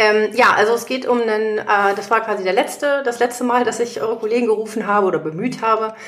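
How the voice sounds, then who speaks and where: Over noticeable background noise, a woman with a fairly high pitch speaks at a very fast pace with ordinary pitch variation. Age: 40s. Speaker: legal assistant and patient. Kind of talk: casual interview. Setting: guest's living room.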